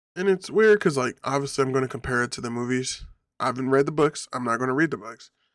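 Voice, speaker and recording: Against a silent background in a very clean recording, a man of medium pitch speaks at a very fast pace. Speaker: online video commentator. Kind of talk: casual opinion commentary. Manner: halting, self-correcting.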